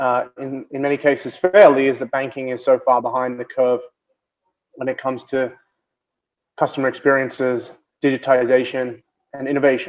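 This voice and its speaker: A man with an Australian accent speaks at a medium pitch with monotone, flat intonation. He leaves long, frequent pauses. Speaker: banking innovation executive. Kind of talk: keynote speech. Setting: video call. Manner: fast.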